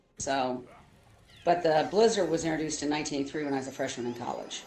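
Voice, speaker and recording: A woman's very deep, low voice in an American accent, with ordinary pitch variation, audible room echo and music in the background. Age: 60s. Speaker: streamer's mother, show co-host. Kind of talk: casual chat.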